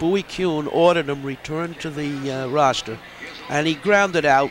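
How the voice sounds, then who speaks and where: Man at a moderate pace, fairly even intonation, dry sound with no echo, noticeable background noise. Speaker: color commentator. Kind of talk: commentary. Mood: relaxed, amused. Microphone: headset.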